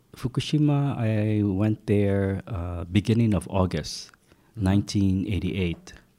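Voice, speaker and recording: A man's fairly low voice with a Hawaiian accent, dark and mellow in tone, relaxed, at a very slow pace, with ordinary pitch variation. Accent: Hawaiian American English. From Hawaii (Hilo). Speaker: market researcher and former reporter. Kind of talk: interview. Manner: relaxed, with frequent fillers.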